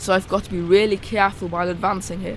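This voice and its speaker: A woman speaks with a medium pitch. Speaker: video game youtuber. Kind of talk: gameplay commentary.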